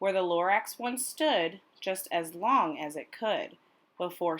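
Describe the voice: The clip is plain reading aloud. It is delivered as a read text.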